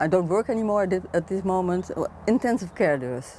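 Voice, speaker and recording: A woman's medium-pitched voice, with ordinary pitch variation, comes through on a very clean recording against a silent background. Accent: Dutch. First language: Dutch. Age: 60s. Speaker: retired intensive care nurse. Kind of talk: interview answer.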